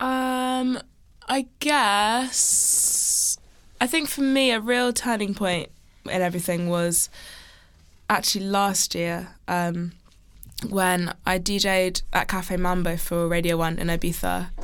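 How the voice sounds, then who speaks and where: On a very clean recording with a silent background, a woman speaks at a very slow pace with lively intonation and very even loudness. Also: medium pitch for a woman. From Channel Islands (Alderney). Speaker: DJ and radio presenter. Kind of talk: casual interview chat.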